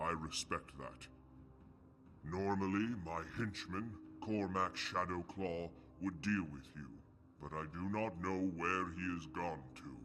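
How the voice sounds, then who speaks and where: Over clear background noise, a man in a put-on character voice speaks at a fairly slow pace with very deep, low pitch and long, frequent pauses. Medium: video game. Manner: grand, measured.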